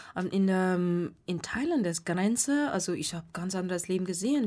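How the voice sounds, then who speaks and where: A woman speaks with a Burmese accent at a moderate pace, her medium pitch showing ordinary variation, on a very clean recording with a silent background. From Myanmar. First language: Burmese (speaking German). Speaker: meditation teacher. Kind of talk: radio interview. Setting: radio studio. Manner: halting.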